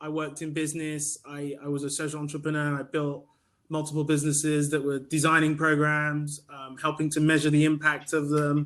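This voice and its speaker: Fairly quick and fairly high-pitched, this man speaks with a British accent. His intonation stays monotone and flat. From UK. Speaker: staffing cooperative founder. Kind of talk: panel discussion. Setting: video call.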